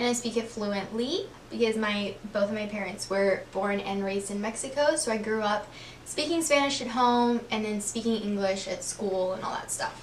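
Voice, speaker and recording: Spoken with an American accent at a moderate pace, the voice shows ordinary pitch variation over noticeable background noise and audible room echo. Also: woman, fairly high pitch for a woman. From Texas, Corpus Christi. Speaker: lifestyle vlogger. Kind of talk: casual Q&A vlog. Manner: casual, filler-heavy (um, like).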